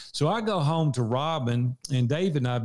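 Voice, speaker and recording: With a strong Southern US accent, a man talks at medium pitch with ordinary pitch variation. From US South, Nashville, Tennessee. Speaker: small business owner and leadership coach. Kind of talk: interview conversation. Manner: animated.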